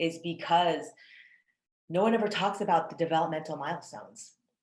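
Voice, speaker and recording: An unremarkable speaking voice, a woman's, fairly low in pitch, at a moderate pace with ordinary pitch variation. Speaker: podcast host. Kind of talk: interviewer, casual conversation.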